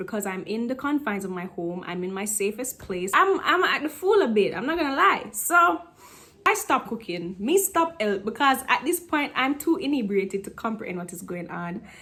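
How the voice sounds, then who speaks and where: A woman speaks at a moderate pace in a Jamaican accent. Her fairly high voice has a bright, sharp tone and very wide pitch swings. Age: 20s. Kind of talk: casual storytime talk to camera.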